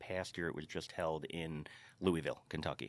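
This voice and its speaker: A man with an American accent speaks fairly slowly in a very deep, low pitch. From New York, Carmel. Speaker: Irish dance school co-owner. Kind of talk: casual interview.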